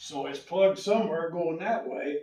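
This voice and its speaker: This man has a high pitch. He talks at a fairly slow pace. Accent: Midwestern US. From Indiana. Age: 70s. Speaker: local resident. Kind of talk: public comment at a town meeting. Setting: town council public hearing.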